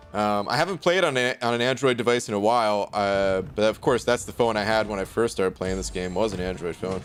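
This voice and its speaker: With music in the background, a man with an American accent talks at a very fast pace in a fairly low voice with ordinary pitch variation. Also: hardly any pauses. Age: 30s. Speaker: game streamer. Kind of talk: live stream chat. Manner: casual.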